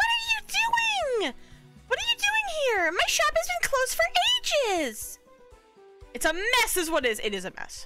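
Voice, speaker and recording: At a moderate pace, a put-on character voice with an extremely high pitch plays over faint music in the background. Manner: fussy, exasperated.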